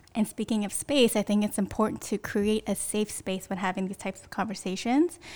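A woman talks at a fairly quick pace with ordinary pitch variation. Her recording is very clean, with a silent background. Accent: Californian. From US West Coast, Bay Area (Sunnyvale). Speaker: church member, race cohort participant. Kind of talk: casual chat.

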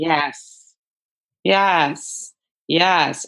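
With an American accent, a woman speaks in a bright, sharp tone at a fairly low pitch with ordinary pitch variation. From New York City (the Bronx). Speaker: conflict resolution coach. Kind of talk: interview.

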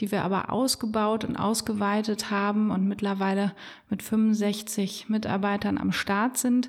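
Somewhat breathy, a woman talks at a fairly slow pace with a fairly high pitch. The recording is very clean, with a silent background. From Germany, Bonn (Rhineland). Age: 40s. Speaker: business owner and carnival figure. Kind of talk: casual interview.

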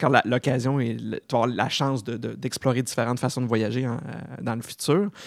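In a very clean recording with a silent background, a man talks at a fairly quick pace with fairly even intonation and vocal fry. The sound is dry and close, with no echo. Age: 40s. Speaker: podcast host. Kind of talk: casual interview.

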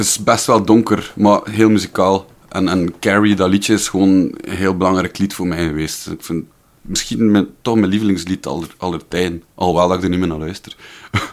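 A man talks in a very deep, low pitch with a slight West Flemish accent. His intonation stays fairly even. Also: fairly quick pace. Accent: West Flemish dialect, toned down. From Belgium, West Flanders. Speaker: musician. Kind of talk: casual chat.

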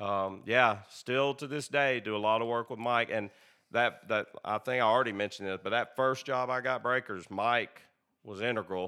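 A man with a Southern US accent, bright and sharp in tone, at a moderate pace with fairly even intonation, on a very clean recording with a silent background. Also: medium pitch for a man. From Tennessee, Tullahoma. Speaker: irrigation company owner. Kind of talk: casual chat. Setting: in his home.

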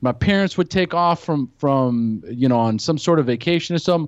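In a plain, everyday voice, the speaker moves at a moderate pace with lively intonation, over a quiet background with a dry, close sound and no echo. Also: man. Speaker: podcast host, guest sharing recovery story. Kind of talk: personal testimony in casual chat.

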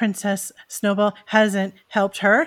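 This is an unforced reading voice.

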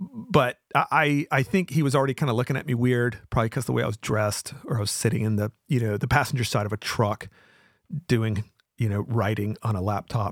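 A man's medium-pitched voice at a fairly quick pace with ordinary pitch variation, on a very clean recording with a silent background. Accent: American. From US South. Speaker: podcast host, author. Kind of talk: live talk show monologue. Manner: casual, rambling, humorous.

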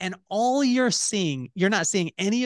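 The intonation of this man is lively. His sound is dry and close, with no echo. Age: 40s. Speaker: entrepreneur and podcast host. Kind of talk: casual interview. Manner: animated.

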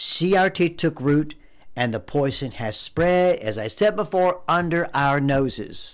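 A man with an American accent and a normal speaking voice talks at a fairly slow pace with a fairly high pitch and lively intonation on a very clean recording with a silent background. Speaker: podcast host, conservative commentator. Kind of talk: angry rant. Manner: indignant, heated, accusatory.

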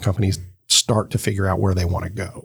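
In an American accent, a man talks at a fairly quick pace with fairly even intonation. He has a plain, everyday voice. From US South. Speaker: business chamber executive. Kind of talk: casual interview.

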